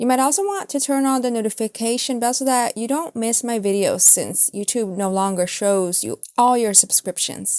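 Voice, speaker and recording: A woman with an unremarkable speaking voice talks at a moderate pace with hardly any pauses. Her pitch sits fairly high and her intonation is lively. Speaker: tarot reader. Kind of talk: channel outro; tarot reading.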